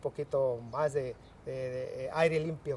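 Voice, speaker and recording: A fairly high-pitched, somewhat breathy male voice. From Mexico, Michoacán. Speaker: recycling center worker. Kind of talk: interview. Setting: recycling center. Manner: halting.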